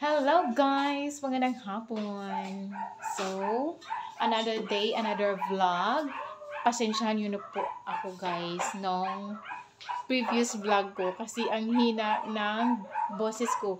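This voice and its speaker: With audible room echo and noticeable background noise, a woman speaks very slowly with ordinary pitch variation. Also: fairly high pitch for a woman. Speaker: cooking vlogger. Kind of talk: casual vlog chat. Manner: speaking loud on purpose.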